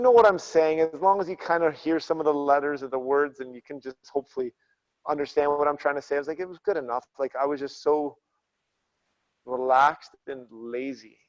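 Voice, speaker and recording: Mumbled speech with ordinary pitch variation and big swings in loudness comes through dry and close with no echo. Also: man, fairly high pitch for a man, fairly quick pace. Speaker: former fighter, athletics coach. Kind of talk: casual chat. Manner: mumbling.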